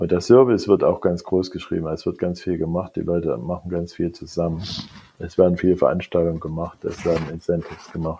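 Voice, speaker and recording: Very deep and low, a man's dark, mellow voice moves at a fairly quick pace with fairly even intonation. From East Germany. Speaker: technology executive. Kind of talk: interview. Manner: halting, many fillers.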